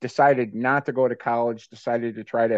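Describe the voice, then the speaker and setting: This man has a plain, everyday voice with an American accent and a medium pitch. He talks at a moderate pace with fairly even intonation. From US Midwest, Cleveland, Ohio. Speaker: leadership coach and author. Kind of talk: interview.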